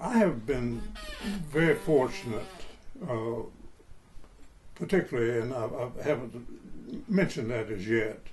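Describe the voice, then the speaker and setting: Through noticeable background noise, a man of medium pitch talks at a fairly slow pace with lively intonation and long, frequent pauses. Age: 80s+. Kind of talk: interview answer. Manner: slow, reflective.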